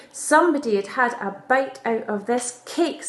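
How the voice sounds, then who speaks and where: Doing a put-on character voice, a woman speaks raspy and high-pitched at a moderate pace. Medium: read story.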